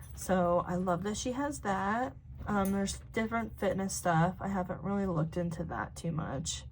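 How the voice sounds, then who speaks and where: At a moderate pace, a woman talks amid audible room echo. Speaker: planning video creator. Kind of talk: casual tutorial walkthrough.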